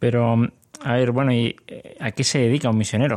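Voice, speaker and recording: A man with a Spanish accent and fairly even intonation, in a dry, close sound with no echo. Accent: Spanish (Spain). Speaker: podcast host. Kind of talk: interview.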